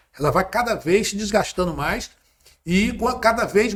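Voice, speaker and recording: A man with ordinary pitch variation. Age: 60s. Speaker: former politician. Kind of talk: interview.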